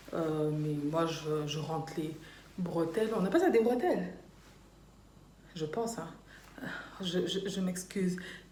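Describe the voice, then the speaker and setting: Over noticeable background noise and audible room echo, a woman with a fairly low pitch speaks at a very slow pace with long, frequent pauses and ordinary pitch variation. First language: Dutch (speaking French). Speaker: YouTuber. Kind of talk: casual vlog chat.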